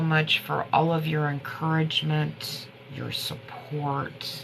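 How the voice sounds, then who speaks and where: A woman speaks very slowly in a very deep, low voice. Audible room echo and noticeable background noise surround her. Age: 50s. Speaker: herbal remedy livestreamer. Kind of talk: casual livestream chat. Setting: TikTok live stream. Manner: rambling, halting.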